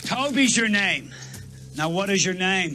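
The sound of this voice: This is a put-on character voice with a bright, sharp tone and lively intonation. It moves at a fairly slow pace while faint music plays in the background. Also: man, high pitch for a man.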